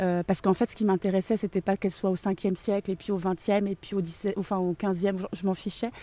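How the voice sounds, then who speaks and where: A woman talks at a moderate pace and medium pitch, her tone dark and mellow. Her intonation is fairly even, and the sound is dry and close with no echo. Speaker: author and education inspector. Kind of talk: interview. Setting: outdoors. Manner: halting with many fillers.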